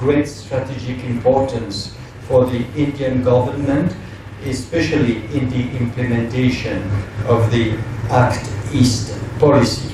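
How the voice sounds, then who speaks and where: Amid noticeable background noise and audible room echo, a man speaks at medium pitch and a fairly slow pace with fairly even intonation. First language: not English. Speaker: ambassador. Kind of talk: formal speech. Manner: halting; formal.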